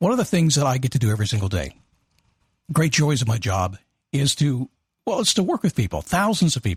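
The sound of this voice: A man's raspy put-on character voice, medium-pitched with very wide pitch swings and very even loudness, fairly quick yet with long, frequent pauses, dry and close with no echo.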